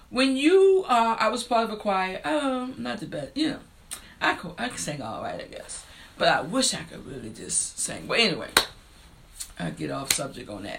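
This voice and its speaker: A woman with an American accent talks at a fairly quick pace, her loudness swinging widely, with audible room echo and noticeable background noise. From rural US. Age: 50s.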